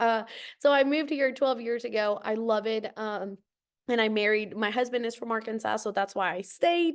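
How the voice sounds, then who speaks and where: Against a quiet background, a woman with a Spanish accent talks at a fairly quick pace, her fairly high pitch showing ordinary variation. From Costa Rica, San Jose. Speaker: nonprofit program director. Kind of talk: podcast interview.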